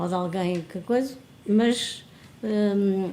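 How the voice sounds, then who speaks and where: In a European Portuguese accent, a woman speaks very slowly at a medium pitch, with audible room echo around her. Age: 70s. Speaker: retired health professional. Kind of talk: casual chat. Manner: halting.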